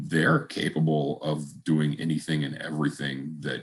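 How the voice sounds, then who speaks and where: Marked by vocal fry, a man's very deep, low voice keeps a fairly even intonation. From United States. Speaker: e-learning team manager. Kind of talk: panel discussion. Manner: many fillers, halting.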